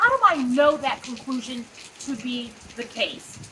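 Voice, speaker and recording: Over noticeable background noise, a woman speaks in a raised, projected voice at a fairly slow pace. Her pitch is high. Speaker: psychologist. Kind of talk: motivational talk. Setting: outdoors. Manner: loud.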